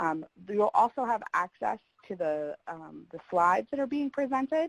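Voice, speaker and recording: Captured dry and close with no echo, a woman at a medium pitch talks at a moderate pace with very wide swings in pitch. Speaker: webinar facilitator. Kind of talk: webinar introduction. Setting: online webinar. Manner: hesitant, many fillers.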